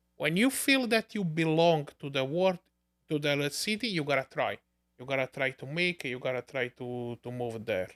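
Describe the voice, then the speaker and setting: A man with an Italian accent and lively intonation, in a dry, close sound with no echo on a very clean recording with a silent background. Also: fairly high pitch for a man, moderate pace. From Naples, Italy. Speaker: immigrant entrepreneur. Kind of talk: casual podcast interview.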